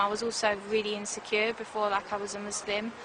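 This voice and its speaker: A woman's fairly high-pitched, monotone, flat voice over noticeable background noise. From south London, England (Croydon). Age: 20s. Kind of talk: interview testimony. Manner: hesitant, many fillers.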